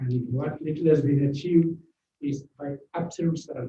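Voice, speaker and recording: A man's somewhat breathy voice with a Keralan accent, dark and mellow in tone, flat and monotone, at a fairly slow pace. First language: Malayalam. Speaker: author. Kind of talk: speech. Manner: halting.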